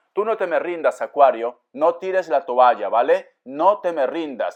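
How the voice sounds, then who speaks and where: The voice belongs to a man with a high pitch. His tone is animated. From Peru, Áncash (Pomabamba). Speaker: tarot reader. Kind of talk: tarot reading.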